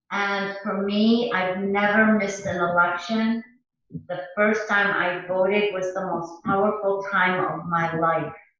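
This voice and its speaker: Audible room echo surrounds a woman with a medium pitch. She speaks at a fairly slow pace with monotone, flat intonation. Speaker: local political candidate. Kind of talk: campaign message.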